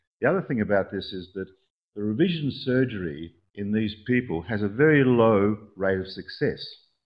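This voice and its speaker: Speaking with an Australian accent, a man uses lively intonation at a medium pitch. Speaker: orthopedic surgeon. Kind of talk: conference talk. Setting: conference presentation. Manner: fast; hesitant with fillers.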